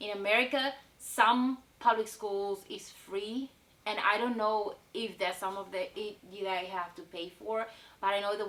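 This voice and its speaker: Over noticeable background noise, a woman talks at a moderate pace in a fairly high pitch with fairly even intonation. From South Africa. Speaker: vlogger. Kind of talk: casual vlog monologue. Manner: conversational, with fillers.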